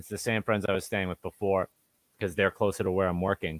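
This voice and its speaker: The very deep, low voice of a man comes through with a dry, close sound and no echo. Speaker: podcast host. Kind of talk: casual chat.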